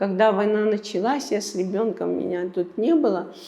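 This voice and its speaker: A woman at a moderate pace with a medium pitch. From Abkhazia, Gudauta district. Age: 60s. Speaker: museum director. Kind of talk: interview. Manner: halting.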